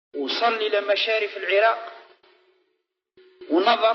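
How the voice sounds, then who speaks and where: In an Algerian accent, a man speaks at a high pitch with fairly even intonation. Music plays in the background. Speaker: Islamic preacher. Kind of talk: religious lecture.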